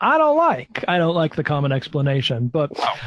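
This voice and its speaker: This man's pitch swings very widely while he keeps a moderate pace. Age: 40s. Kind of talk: casual chat.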